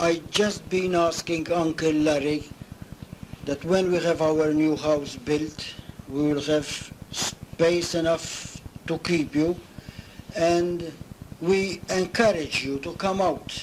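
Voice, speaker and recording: Speaking very slowly with long, frequent pauses, a man uses a high pitch and fairly even intonation amid noticeable background noise. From Malta. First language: Maltese. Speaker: retired navy cook. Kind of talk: oral history interview. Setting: at home.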